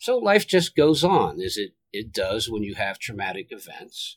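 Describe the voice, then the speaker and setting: A man with an American accent talks at a moderate pace, recorded with a dry, close sound and no echo. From northwest Pennsylvania, US. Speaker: entrepreneur and caregiver. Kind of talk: personal testimony.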